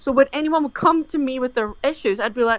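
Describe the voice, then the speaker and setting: Speaking at a fairly quick pace, a woman talks with a Scottish accent. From Scotland. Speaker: interviewee in documentary. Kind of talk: interview. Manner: animated.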